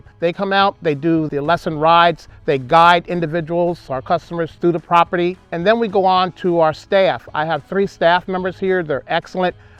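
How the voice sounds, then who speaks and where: With music in the background, a man talks at a high pitch and a moderate pace, keeping his intonation fairly even and hardly pausing. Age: 60s. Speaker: horse farm owner. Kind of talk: interview.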